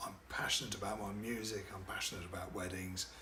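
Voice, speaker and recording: A man speaks in a room with audible echo. Noticeable background noise runs underneath. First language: French. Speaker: wedding DJ and MC. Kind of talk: promotional self-introduction to camera. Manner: hesitant, many fillers.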